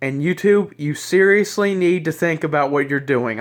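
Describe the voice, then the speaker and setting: A man's high voice with a Southern US accent, ordinary pitch variation and a moderate pace, against a quiet background. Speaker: YouTuber. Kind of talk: rant. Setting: self-recorded video. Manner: halting, rambling.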